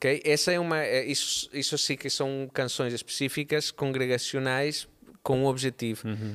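At a moderate pace, a man with an unremarkable speaking voice talks at a medium pitch with fairly even intonation. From Barcelona, Spain. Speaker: musician and drummer. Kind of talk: casual chat.

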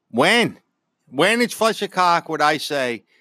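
A man with a Philadelphia accent, bright and sharp in tone, with very wide pitch swings and a fairly slow pace, dry and close with no echo on a very clean recording against a silent background. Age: 50s. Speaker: host's father, sports fan. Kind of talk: casual sports debate. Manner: animated.

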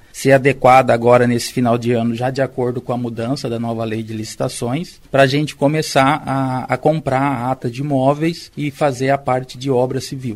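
At a moderate pace and with hardly any pauses, a man of medium pitch talks in a flat, monotone way. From interior of São Paulo state, Brazil. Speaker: public sector technical adviser. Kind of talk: interview.

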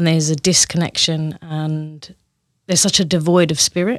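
In a very clean recording with a silent background, a woman speaks at a moderate pace. Her warm tone sits at a very deep, low pitch, with monotone, flat intonation. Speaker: somatic coach. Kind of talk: interview conversation. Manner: warm, reflective.

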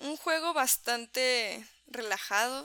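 On a very clean recording with a silent background, a woman speaks in a high, bright, sharp voice with lively intonation. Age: 20s. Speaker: podcast co-host. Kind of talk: casual chat while gaming.

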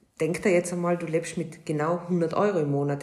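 A woman with a very deep, low pitch at a fairly quick pace. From Austria. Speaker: podcast co-host, hairdresser. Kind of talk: casual chat.

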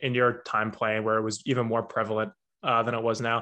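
A man with an American accent talks at a very fast pace in a bright, sharp tone. His pitch sits in the medium range, and the background is quiet. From New Jersey. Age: 20s. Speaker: podcast host and pharmacy student. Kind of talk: casual interview.

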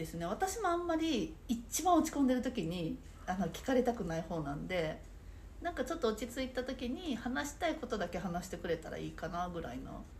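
Audible room echo surrounds a woman talking at a fairly quick pace, her high-pitched voice moving through very wide pitch swings. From Saitama. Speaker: nerikiri sweets instructor. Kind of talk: casual interview chat.

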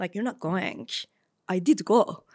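A woman speaks at a fairly quick pace with a Turkish accent. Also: very clean recording, silent background. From Istanbul, Turkey. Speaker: startup founder and CEO. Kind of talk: interview conversation.

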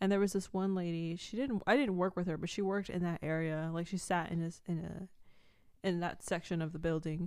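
A plain, everyday voice with fairly even intonation and hardly any pauses. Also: woman, fairly low pitch for a woman. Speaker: podcast co-host. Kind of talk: casual chat.

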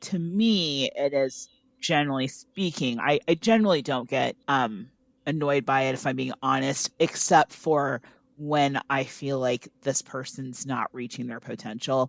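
A woman with a very deep, low pitch, ordinary pitch variation and a fairly slow pace. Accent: American. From US Midwest, Iowa. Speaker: podcast co-host. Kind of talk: casual roundtable discussion. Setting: remote call.

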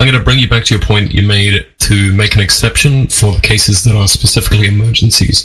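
A man at a very fast pace with hardly any pauses, very even loudness and ordinary pitch variation over noticeable background noise. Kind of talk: casual debate.

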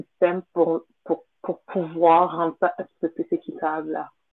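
A woman with a fairly low pitch talks at a very slow pace in a monotone, flat intonation. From Montreal, Quebec, of Haitian parents. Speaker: event entrepreneur. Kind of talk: interview. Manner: hesitant, many fillers.

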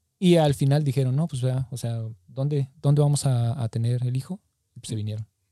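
Fairly quick speech in a central Mexican accent, with ordinary pitch variation, big swings in loudness and a dry, close sound with no echo. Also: man, medium pitch for a man. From Mexico City, Mexico. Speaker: podcast co-host. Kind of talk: casual chat.

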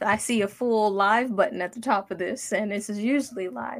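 This woman has an unremarkable speaking voice, fairly high in pitch with ordinary pitch variation. She talks at a moderate pace. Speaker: designer. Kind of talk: casual chat. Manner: laughs often.

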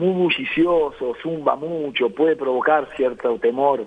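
Noticeable noise can be heard in the background. The talking proceeds very slowly. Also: man. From Uruguay. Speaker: beekeeper and agronomist. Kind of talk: radio interview.

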